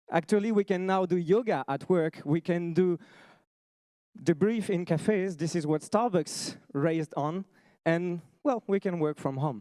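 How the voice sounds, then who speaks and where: A man with a French accent speaks at a fairly slow pace in a high pitch with a dark, mellow tone and ordinary pitch variation. The recording is very clean with a silent background and a dry, close sound with no echo. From France. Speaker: startup founder. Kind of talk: pitch presentation.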